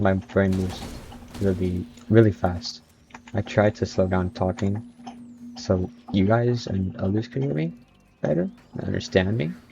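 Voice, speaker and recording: A man with a fairly low pitch speaks at a moderate pace, using ordinary pitch variation. Long, frequent pauses break his speech against noticeable background noise. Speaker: gaming streamer. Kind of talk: gameplay commentary. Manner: animated.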